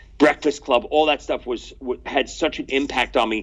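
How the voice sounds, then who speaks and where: At a fairly slow pace, a man talks with a New York accent. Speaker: drummer and actor. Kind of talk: casual chat.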